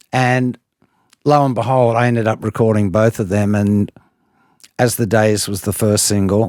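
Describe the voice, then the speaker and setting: With an Australian accent, a man speaks at a fairly low pitch and fairly even intonation, the sound dry and close with no echo. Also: very clean recording, silent background. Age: 70s. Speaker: singer. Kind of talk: interview answer. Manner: casual, conversational.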